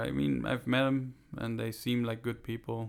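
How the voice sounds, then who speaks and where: He talks rather slowly. This man has a normal speaking voice, medium in pitch. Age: 30s. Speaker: comedian. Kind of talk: casual chat.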